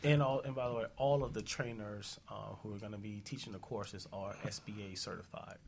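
Somewhat breathy, a man with a fairly low pitch talks at a fairly quick pace. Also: ordinary pitch variation. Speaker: assistant to nonprofit president, boot camp organizer. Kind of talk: interview answers.

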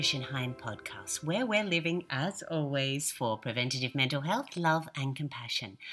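Music plays in the background as a woman with a very deep, low pitch speaks. She leaves hardly any pauses. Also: lively intonation, moderate pace. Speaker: podcast host. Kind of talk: scripted intro narration.

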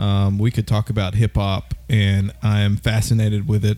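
Fairly low in pitch, a man speaks with ordinary pitch variation. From US South, north Alabama. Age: 40s. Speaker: podcast host. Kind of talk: casual chat.

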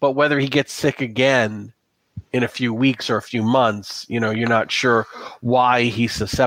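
Over a quiet background, a passage gets a plain reading aloud with fairly even intonation.

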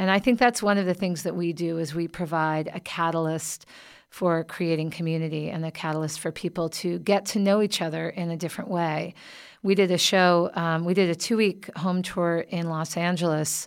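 A woman's unremarkable speaking voice with an American accent, fairly low in pitch, with fairly even intonation at a moderate pace on a very clean recording with a silent background. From US South. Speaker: singer-songwriter. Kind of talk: interview. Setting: studio.

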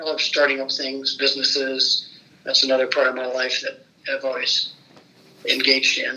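There is noticeable background noise behind this man. He speaks at a moderate pace in an American accent. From Fort Wayne, Indiana. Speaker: former state legislator. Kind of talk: oral history interview.

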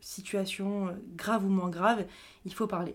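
Fairly slow delivery, on a very clean recording against a silent background. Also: woman. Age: 20s. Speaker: podcast host, mental health professional. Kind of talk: personal monologue podcast. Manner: casual, many fillers. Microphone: new microphone.

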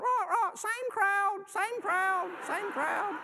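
In a put-on character voice pitched extremely high, the speaker moves at a very slow pace amid clear background noise. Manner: squawking.

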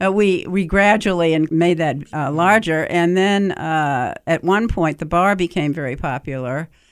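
A woman with a normal speaking voice talks at a fairly slow pace in a fairly low pitch, with ordinary pitch variation and hardly any pauses. The recording is very clean, with a silent background. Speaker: restaurateur and cooking show figure. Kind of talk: casual interview. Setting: studio.

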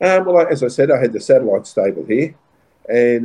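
Here a man speaks with an Australian accent. His tone is dark and mellow. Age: 60s. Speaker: retiring racehorse trainer. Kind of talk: interview. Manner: halting, many fillers.

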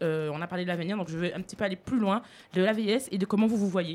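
On a very clean recording with a silent background, a woman talks at a very fast pace with ordinary pitch variation. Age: 30s. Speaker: radio host. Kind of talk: casual chat.

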